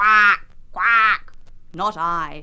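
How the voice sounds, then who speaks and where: The pitch is fairly high. It is delivered as a put-on character voice. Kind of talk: children's television storytelling. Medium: read story.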